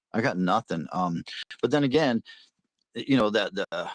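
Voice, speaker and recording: A man's normal speaking voice at medium pitch, fairly quick pace and lively intonation, dry and close with no echo, on a very clean recording with a silent background. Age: 60s. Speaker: hobby gold prospector. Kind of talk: casual chat.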